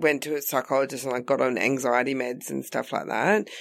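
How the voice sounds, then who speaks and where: A woman with an Australian accent talks at a very deep, low pitch. The recording is very clean, with a silent background. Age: 30s. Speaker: comedian. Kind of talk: casual chat. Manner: loud.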